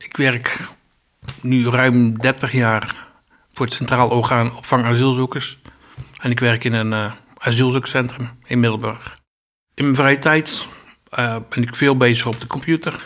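A man speaks at a fairly slow pace and medium pitch with long, frequent pauses. His intonation is monotone and flat. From Zeeland. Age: 50s. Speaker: asylum centre worker. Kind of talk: personal testimony interview.

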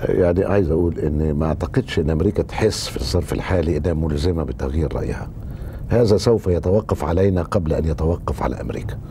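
The speech moves at a moderate pace with ordinary pitch variation, and noticeable background noise is present. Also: man, very deep, low pitch for a man. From Egypt, Cairo. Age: 60s. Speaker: political writer and journalist. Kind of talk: interview.

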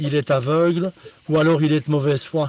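In a dry, close recording with no echo, a man talks at a fairly high pitch with fairly even intonation. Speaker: football scout. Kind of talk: casual chat. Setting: in a car.

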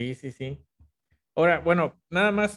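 The voice moves at a moderate pace in a dry, close sound with no echo. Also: man. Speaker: podcast host. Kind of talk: casual interview. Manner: halting, repeats words.

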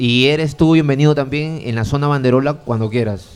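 A man speaking at a fairly quick pace over music in the background. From Piura, northern Peru. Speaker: rock fan community organizer. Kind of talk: casual interview chat.

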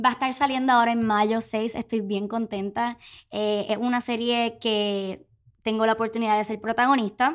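In a very clean recording with a silent background, a woman with a Puerto Rican accent speaks in a fairly high pitch with monotone, flat intonation. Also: moderate pace. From Puerto Rico. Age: 20s. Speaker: podcast co-host, actress and influencer. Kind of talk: casual chat.

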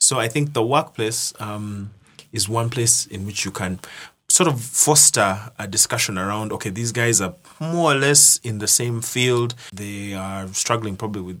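A man's bright, sharp voice, fairly low in pitch, with ordinary pitch variation at a moderate pace. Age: 30s. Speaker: digital finance professional. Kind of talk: podcast interview.

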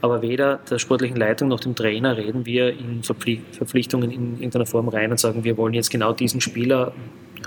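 Noticeable background noise sits behind a man's medium-pitched voice. He speaks in a monotone, flat way at a fairly quick pace. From Graz, Austria. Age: 40s. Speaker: football club vice-chairman. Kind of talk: casual interview. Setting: in a pub room.

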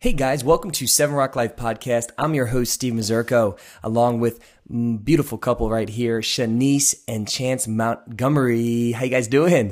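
At a moderate pace, the speech comes through a very clean recording with a silent background. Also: man, medium pitch for a man. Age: 20s. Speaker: podcast host. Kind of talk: casual interview. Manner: animated.

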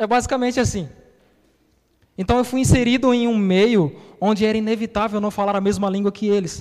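The speech moves at a fairly quick pace with fairly even intonation, broken by long, frequent pauses. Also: man, high pitch for a man. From Bahia, Brazil. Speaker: pastor. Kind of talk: sermon.

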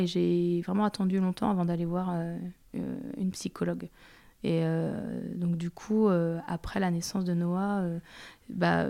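On a very clean recording with a silent background, a woman speaks in a dark, mellow tone at a fairly low pitch. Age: 30s. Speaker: patient sharing her experience with endometriosis. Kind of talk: testimony. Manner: hesitant, many filler sounds.

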